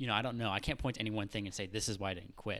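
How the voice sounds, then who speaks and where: In an American accent, a man speaks with a fairly low pitch, a bright, sharp tone and fairly even intonation. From US South, Florida. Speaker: software engineer. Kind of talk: casual interview. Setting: host's home. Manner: halting, many fillers.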